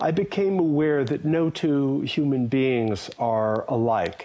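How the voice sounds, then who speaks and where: This man has a plain, everyday voice with an American accent. His intonation is lively. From USA. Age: 60s. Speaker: yoga teacher and Buddhism scholar. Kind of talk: interview.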